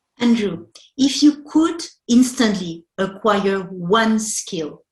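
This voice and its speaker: Her voice is somewhat breathy, with very wide pitch swings and big swings in loudness. The woman speaks at a very slow pace. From Vietnam. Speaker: interview host, co-founder of education company. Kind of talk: interview.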